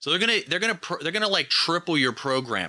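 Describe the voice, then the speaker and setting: Very wide pitch swings and vocal fry from a man, on a very clean recording with a silent background. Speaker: podcast co-host. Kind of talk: casual chat.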